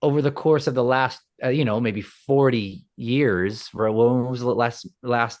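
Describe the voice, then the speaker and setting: A man with a New York accent speaks at a fairly slow pace and medium pitch. His intonation is fairly even, with hardly any pauses. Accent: New York City. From Queens, New York City. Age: 40s. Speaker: rock musician. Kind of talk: casual interview. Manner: halting, many repeated words.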